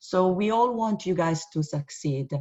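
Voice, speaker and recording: In an Italian accent, a woman speaks in a fairly low, somewhat breathy voice with lively intonation. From Italy. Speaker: university professor. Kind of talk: orientation presentation. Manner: halting with many fillers.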